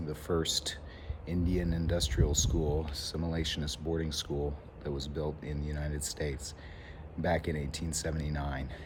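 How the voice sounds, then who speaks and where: A man talks in a very deep, low pitch with monotone, flat intonation at a moderate pace. Noticeable background noise runs under the recording. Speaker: teacher. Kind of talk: casual talk to camera.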